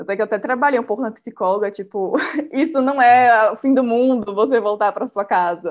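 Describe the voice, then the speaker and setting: A normal speaking voice from a woman, fairly high-pitched with ordinary pitch variation at a fairly quick pace. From Bahia, Brazil (Salvador). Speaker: baker and small business owner. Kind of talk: interview, casual.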